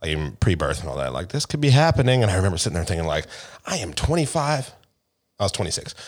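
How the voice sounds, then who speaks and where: In a very clean recording with a silent background, a man with an American accent and a very deep, low pitch talks at a very fast pace, with very wide pitch swings and vocal fry. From Seattle area, US. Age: 30s. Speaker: podcast co-host. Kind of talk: casual chat.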